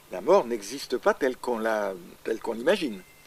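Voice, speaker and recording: Speech at a moderate pace, with noticeable noise in the background. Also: man. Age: 80s+. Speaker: astrologer. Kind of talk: interview answer.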